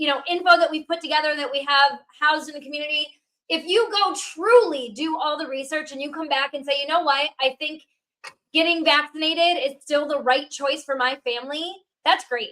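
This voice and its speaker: Raised and projected, a woman's high voice carries a bright, sharp tone. She moves at a fairly quick pace with ordinary pitch variation. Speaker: podcast co-host. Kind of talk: podcast interview. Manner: loud.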